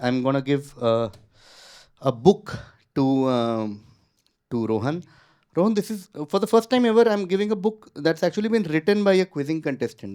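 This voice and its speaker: A man with an Indian accent, dark and mellow in tone, at a moderate pace with very wide pitch swings, on a very clean recording with a silent background. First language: Hindi. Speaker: quizmaster. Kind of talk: quiz show hosting. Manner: casual, code-switching Hindi and English.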